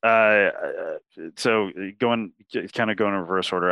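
With an ordinary speaking voice, a man talks at a moderate pace at a fairly low pitch. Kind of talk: casual interview chat.

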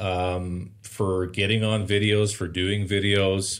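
The speaker is a man. He has a Canadian accent. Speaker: renovation company owner. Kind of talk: casual interview chat.

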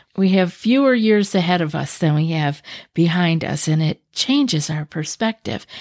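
A woman with a fairly low pitch and lively intonation has an unremarkable speaking voice. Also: moderate pace. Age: 60s. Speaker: anxiety coach and podcast host. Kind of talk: podcast monologue. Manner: calm, soothing.

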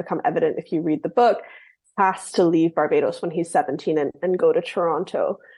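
A woman talks over a quiet background. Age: 30s. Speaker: novelist. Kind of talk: interview.

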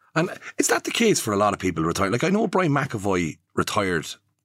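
Very fast speech comes from a man with an Irish accent. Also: very clean recording, silent background. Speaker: podcast host. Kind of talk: casual interview chat. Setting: studio. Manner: halting.

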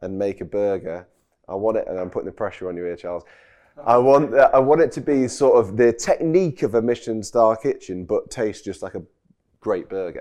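A man with a Yorkshire accent talks at a fairly quick pace in a dark, mellow tone at a medium pitch, his loudness swinging widely. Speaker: chef and restaurant owner. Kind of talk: casual chat. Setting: outdoors on a farm.

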